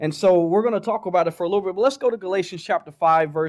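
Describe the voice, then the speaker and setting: Ordinary pitch variation marks this speaker with a Southern US accent, heard against a quiet background. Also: man. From Oklahoma, US South. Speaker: guest preacher. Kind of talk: sermon. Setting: church with congregation. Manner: animated.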